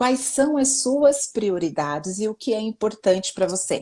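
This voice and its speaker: Lively intonation and a somewhat breathy, dark, mellow tone mark this woman's fairly high voice at a fairly slow pace. The recording is very clean with a silent background. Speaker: self-help speaker. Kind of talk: interview. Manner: animated.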